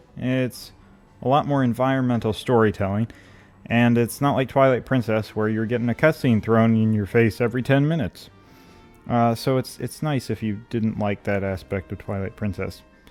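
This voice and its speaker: Music plays in the background as a man speaks at a moderate pace, medium in pitch with ordinary pitch variation. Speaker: gaming youtuber. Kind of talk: video essay. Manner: hesitant, many fillers.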